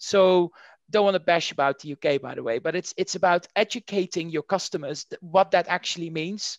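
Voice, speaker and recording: A man's high-pitched voice with a Dutch accent and ordinary pitch variation, dry and close with no echo, in a quiet background. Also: fairly quick pace. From Netherlands. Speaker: marketing executive. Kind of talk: interview.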